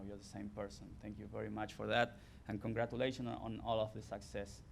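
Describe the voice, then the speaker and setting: With an Argentine accent and vocal fry, a man speaks at a fairly quick pace in a fairly low pitch amid audible room echo. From Argentina. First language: Spanish. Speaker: former college athlete, hall of fame inductee. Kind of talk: acceptance speech.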